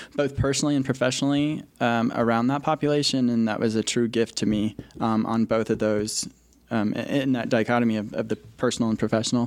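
Here is a man with a medium pitch. He speaks at a fairly quick pace. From Colorado. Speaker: mental health counselor. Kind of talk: casual chat. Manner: hesitant, many fillers.

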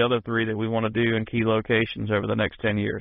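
A man's voice at medium pitch, with an American accent. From Tidewater, Virginia. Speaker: country singer. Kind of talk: interview. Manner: halting.

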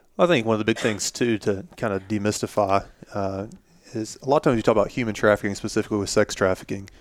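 A man talks at a very fast pace. His fairly low voice carries an American accent. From US South, Florida (near Pensacola). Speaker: pastor. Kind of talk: casual chat.

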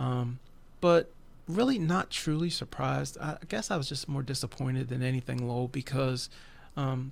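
A normal speaking voice in an American accent, with fairly even intonation at a moderate pace. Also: man. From West Virginia. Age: 40s. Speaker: prayer ministry leader. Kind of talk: religious discussion podcast. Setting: recorded broadcast.

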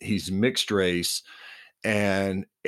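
Against a quiet background, a natural voice reads aloud.

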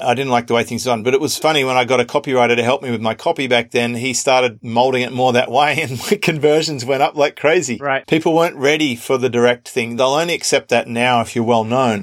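Barely pausing at all, a man rattles along at a very fast pace with a medium pitch and fairly even intonation. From Australia. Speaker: podcast host. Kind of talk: interview.

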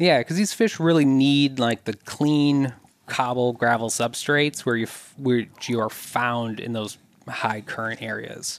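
At a fairly slow pace, a man talks in a normal speaking voice, medium in pitch with ordinary pitch variation. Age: adult. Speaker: environmental scientist and angler. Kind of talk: casual interview.

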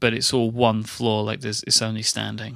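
With an English accent, a man speaks at a medium pitch in a bright, sharp tone. The background is quiet. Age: 20s. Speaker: podcaster. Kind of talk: casual chat.

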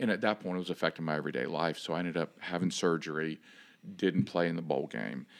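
A man's very deep, low voice with vocal fry and ordinary pitch variation, speaking at a very fast pace in an American accent, on a very clean recording with a silent background. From Miami, Florida. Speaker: former football linebacker and coach. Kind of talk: casual interview chat.

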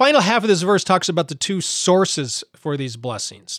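A man speaks at a moderate pace with lively intonation. The recording is very clean, with a silent background. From Montana. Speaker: podcast bible teacher. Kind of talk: podcast teaching monologue. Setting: home studio recording. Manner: halting, many fillers.

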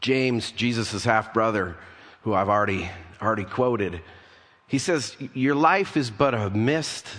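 A man with a fairly low pitch speaks at a moderate pace, with ordinary pitch variation and long, frequent pauses. Audible room echo surrounds him. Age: 50s. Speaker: pastor. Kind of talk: sermon.

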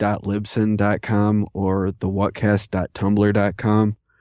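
A man's fairly low, monotone voice with an American accent, flat in intonation, recorded dry and close with no echo. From New York. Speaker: fellow podcaster. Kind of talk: casual chat. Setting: video call.

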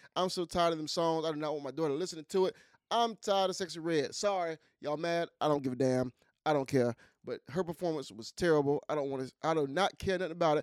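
On a very clean recording with a silent background, a man with a fairly high voice speaks at a very fast pace in an animated tone. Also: ordinary pitch variation, dry, close sound with no echo. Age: middle-aged. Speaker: podcast co-host. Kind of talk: casual chat.

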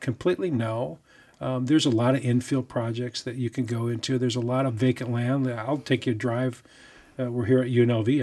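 Speaking at a fairly quick clip, a man uses a plain, everyday voice at medium pitch with fairly even intonation. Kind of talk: interview. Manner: humorous, chatty.

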